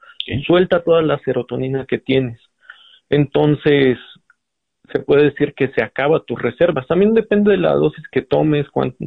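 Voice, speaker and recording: At a moderate pace, a man talks in a normal speaking voice with ordinary pitch variation. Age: 30s. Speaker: physician. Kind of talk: interview.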